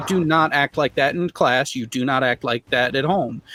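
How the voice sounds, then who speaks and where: With an American accent, a man speaks at a fairly high pitch with ordinary pitch variation, the sound dry and close with no echo but with noticeable background noise. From US, small town. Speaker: conspiracy-debunking panelist, parent. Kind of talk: panel discussion.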